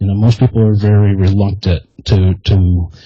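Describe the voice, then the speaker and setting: A soft-spoken man talks at a moderate pace with a fairly low pitch and a dark, mellow tone. His delivery is somewhat breathy, with monotone, flat intonation. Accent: American. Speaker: army veteran and podcast host. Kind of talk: interview. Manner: halting, many repetitions.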